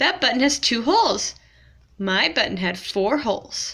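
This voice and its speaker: A woman talks at a moderate pace in a put-on character voice. Her pitch sits fairly high. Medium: read story. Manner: fussy, complaining.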